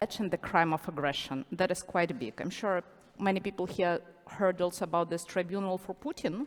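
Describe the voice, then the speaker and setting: Speaking with a Ukrainian accent, a woman talks at a medium pitch. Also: ordinary pitch variation, moderate pace. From Ukraine. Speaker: international criminal lawyer. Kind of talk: panel discussion.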